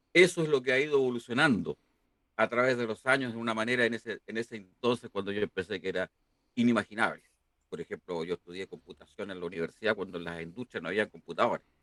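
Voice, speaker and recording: A man's bright, sharp, medium-pitched voice, very fast and lively in intonation, with a dry, close sound and no echo. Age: 60s. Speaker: university professor. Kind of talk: interview. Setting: live stream.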